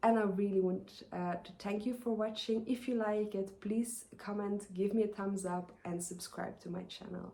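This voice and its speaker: A woman's dark, mellow, somewhat breathy voice with a Flemish accent, medium pitch, monotone, flat intonation, moderate pace and hardly any pauses. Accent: Flemish Dutch accent in English. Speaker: knitting podcaster. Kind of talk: casual vlog talk. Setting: outdoors in the garden. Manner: hesitant, many fillers.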